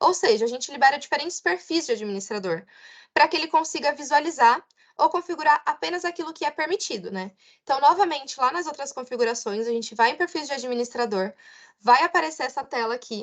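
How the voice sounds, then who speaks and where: A high-pitched woman speaks at a fairly quick pace with very wide pitch swings and big swings in loudness. The background is quiet. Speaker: customer success trainer. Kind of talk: online webinar presentation. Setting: online webinar with chat.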